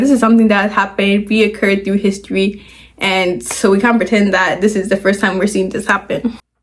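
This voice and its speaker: Somewhat breathy and fairly high in pitch, a woman's voice keeps a fairly quick pace with fairly even intonation. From Ghana. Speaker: YouTuber, commentary vlogger. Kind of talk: casual commentary video. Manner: casual, filler-heavy.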